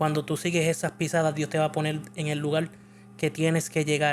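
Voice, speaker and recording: A man's fairly high voice in a Puerto Rican accent, with fairly even intonation and a fairly slow pace. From Puerto Rico. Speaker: church video show host. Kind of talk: interview.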